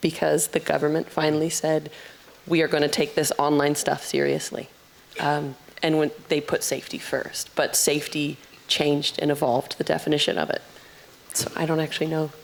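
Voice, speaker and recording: Against noticeable background noise, a woman with a very deep, low pitch speaks at a fairly quick pace with monotone, flat intonation and very even loudness. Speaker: panelist, data and marketing expert. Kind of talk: panel discussion.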